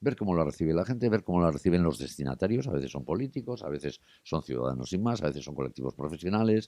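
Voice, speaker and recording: Very deep and low-pitched, a man talks very fast with hardly any pauses and very wide pitch swings. His tone is dark and mellow, with vocal fry. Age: 60s. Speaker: journalist and TV presenter. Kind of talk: interview conversation.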